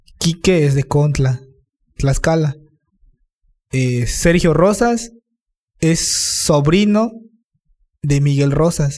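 At a very slow pace, a man speaks in a somewhat breathy, fairly high voice with ordinary pitch variation. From Campeche, Mexico (Calkiní). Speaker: musician. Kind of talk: casual chat.

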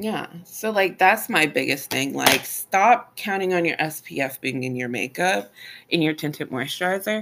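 Amid noticeable background noise, a woman with a fairly low pitch speaks in an animated tone. Her pitch swings very widely at a fairly slow pace. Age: 30s. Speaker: esthetician podcast co-host. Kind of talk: casual chat.

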